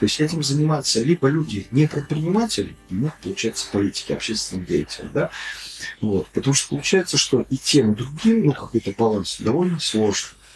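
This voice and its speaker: A man with a fairly high pitch swings his voice very widely up and down over music in the background. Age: 50s. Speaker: business club co-founder. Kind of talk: casual chat.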